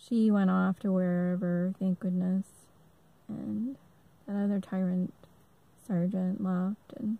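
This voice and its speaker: A woman's somewhat breathy, dark, mellow voice at medium pitch, with fairly even intonation, a very slow pace and long, frequent pauses, in a dry, close sound with no echo. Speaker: army veteran. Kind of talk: personal testimony monologue. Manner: halting, stammers a lot; many filler ums.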